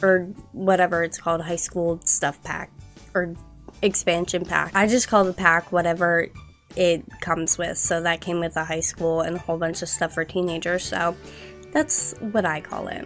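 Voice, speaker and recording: Over music in the background, a woman with a fairly low pitch speaks in an upbeat tone at a moderate pace. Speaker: gaming YouTuber. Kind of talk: casual rambling commentary over gameplay. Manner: chatty, upbeat.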